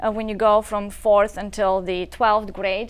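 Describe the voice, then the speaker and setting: Over a quiet background, a woman with a Bulgarian accent speaks at a fairly high pitch. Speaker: nonprofit founder. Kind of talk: talk show interview.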